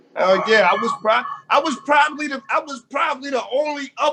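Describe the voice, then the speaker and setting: A man with an American accent speaks in a raised, projected voice at an extremely high pitch. His pace is moderate, with ordinary pitch variation. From Erie, Pennsylvania. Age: 30s. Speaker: rapper and producer. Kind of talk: casual interview.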